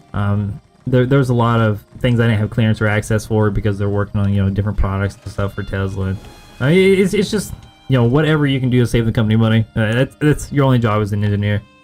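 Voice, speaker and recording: Music plays behind a man speaking at a very fast pace. His pitch is fairly low, with ordinary variation. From West Virginia (Huntington). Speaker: gaming streamer. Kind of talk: casual chat.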